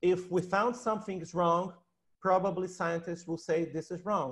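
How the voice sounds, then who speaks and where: Over a quiet background, a man with a Portuguese accent speaks at a high pitch. His pace is moderate and his pitch variation ordinary. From Brazil. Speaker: researcher and science educator; science educator. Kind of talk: panel discussion. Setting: video call. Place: home room. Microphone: earbuds.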